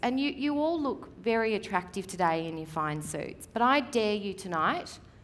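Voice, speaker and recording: In an Australian accent, a woman talks in a fairly high, animated voice with very wide pitch swings at a fairly slow pace, with audible room echo. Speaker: real estate media coach. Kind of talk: seminar presentation. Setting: stage with audience.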